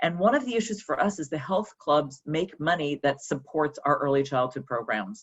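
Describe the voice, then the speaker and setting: The speech runs with hardly any pauses and lively intonation. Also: woman, very deep, low pitch for a woman. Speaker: early childhood program executive. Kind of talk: panel presentation. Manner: fast.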